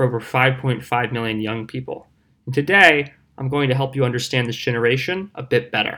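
At a moderate pace, the speech comes in an ordinary speaking voice. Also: man. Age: 20s. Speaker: speaker on youth culture. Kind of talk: prepared talk.

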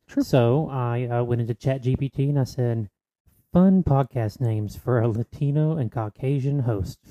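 In a dry, close recording with no echo and a quiet background, a man with an American accent talks at a fairly slow pace in a medium pitch, his dark, mellow tone playful and his pitch varying in an ordinary way. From North Carolina, US South. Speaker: podcast co-host. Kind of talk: casual chat. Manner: joking, playful.

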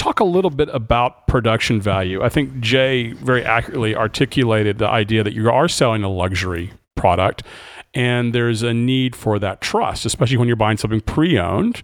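A man's unremarkable speaking voice at medium pitch and a fairly quick pace, with ordinary pitch variation. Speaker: co-host. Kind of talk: interview conversation.

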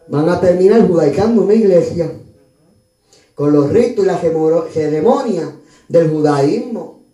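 With long, frequent pauses, a man speaks at a high pitch in an animated tone with ordinary pitch variation, and audible room echo surrounds him. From Puerto Rico (Río Piedras, San Juan). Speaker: pastor. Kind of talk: sermon.

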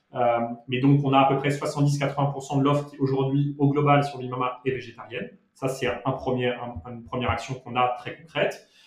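At a moderate pace, a man speaks in a medium pitch with monotone, flat intonation and big swings in loudness. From Monaco and Paris. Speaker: restaurant founder. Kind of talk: interview. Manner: halting, frequent repetitions.

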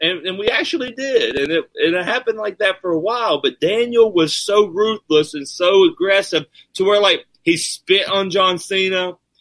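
Recorded dry and close with no echo, a man speaks at a high pitch. His pace is moderate and his intonation is lively. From Virginia Appalachians (southern West Virginia). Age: 30s. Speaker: professional wrestler. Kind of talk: casual chat.

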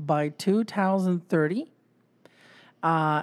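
Fairly low female pitch with ordinary pitch variation on a very clean recording with a silent background. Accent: Polish. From Poland. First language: Polish. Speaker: podcast co-host. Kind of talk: casual chat.

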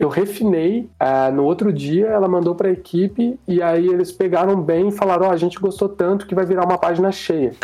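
A man speaks in a high voice at a fairly quick pace, with hardly any pauses and ordinary pitch variation. Noticeable background noise runs underneath. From Caçapava, São Paulo interior, Brazil. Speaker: illustrator. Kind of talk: casual chat.

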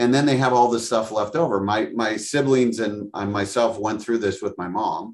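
In a normal speaking voice, a man with an American accent talks at a moderate pace and medium pitch, with fairly even intonation and hardly any pauses. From Wisconsin, US Midwest. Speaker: franchise development director. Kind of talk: interview.

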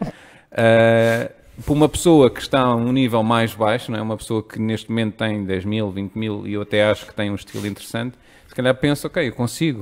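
A man with a medium pitch and a plain, everyday voice talks fairly quickly, with ordinary pitch variation and big swings in loudness. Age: 30s. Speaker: strategist. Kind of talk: casual chat.

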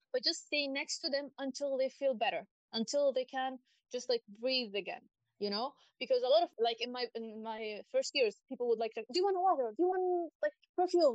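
Here a woman speaks with a high pitch. Her intonation is lively and her pace fairly quick. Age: 30s. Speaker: guest, graphic designer and artist. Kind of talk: casual interview chat.

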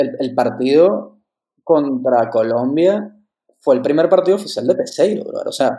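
A man with a Venezuelan accent speaks at a fairly slow pace. His voice is high in pitch, with a dark, mellow tone. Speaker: podcast co-host. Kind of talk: casual chat.

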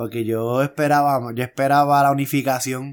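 With a Puerto Rican accent, a man speaks in monotone, flat intonation on a very clean recording with a silent background. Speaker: wrestling podcast co-host. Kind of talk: casual chat.

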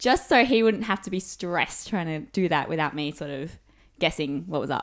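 On a very clean recording with a silent background, a woman with an Australian accent speaks with very wide pitch swings. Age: 20s. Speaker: university student. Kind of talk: casual chat.

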